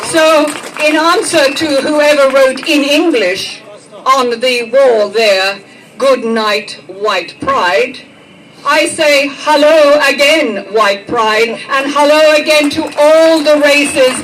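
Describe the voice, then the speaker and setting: A woman speaks at a very slow pace with a high pitch and lively intonation. Background noise is noticeable. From Britain. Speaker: public speaker. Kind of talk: impromptu political speech at a commemoration.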